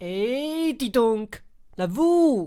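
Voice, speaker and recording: A man puts on a character voice. It sits at an extremely high pitch and swings very widely. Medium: audio drama.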